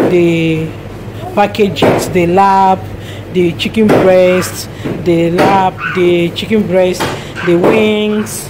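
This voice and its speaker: Loud background noise comes through as a woman speaks. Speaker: vlogger. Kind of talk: casual vlog chat. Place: shop. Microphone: phone near.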